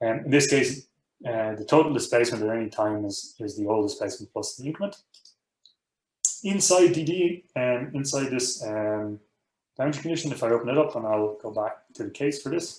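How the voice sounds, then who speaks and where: A man's medium-pitched voice at a fairly quick pace, with lively intonation. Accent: Irish. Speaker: professor. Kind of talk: tutorial. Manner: fast.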